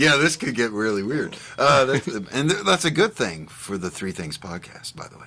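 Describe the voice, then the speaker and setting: Bright and sharp in tone, a man at a medium pitch and moderate pace uses very wide pitch swings, big swings in loudness and vocal fry. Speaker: band member. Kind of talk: casual chat. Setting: outdoors on a back porch.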